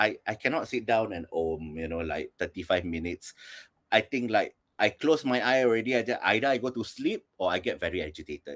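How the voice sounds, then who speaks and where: A man with a plain, everyday voice at medium pitch, lively intonation, and a fairly quick pace, in a dry, close sound with no echo and a very clean recording with a silent background. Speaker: performance artist. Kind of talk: panel discussion.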